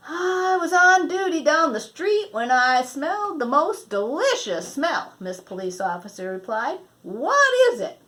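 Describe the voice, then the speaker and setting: Using a put-on character voice, a woman speaks at a fairly slow pace with hardly any pauses, her high pitch moving in very wide swings. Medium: read story. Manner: warm, enthusiastic; gentle, warm.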